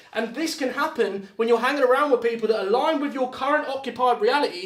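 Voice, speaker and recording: Loud, animated, very fast speech from a man at an extremely high pitch, with a British accent, ordinary pitch variation and noticeable background noise. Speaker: motivational speaker. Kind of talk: motivational talk. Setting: live video call.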